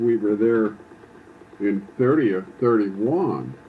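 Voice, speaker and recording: The speaker has an American accent and talks at a very slow pace with ordinary pitch variation. Noticeable background noise is present. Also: man. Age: 70s. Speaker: elderly father recounting family history. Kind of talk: oral history interview. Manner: halting, many fillers and restarts.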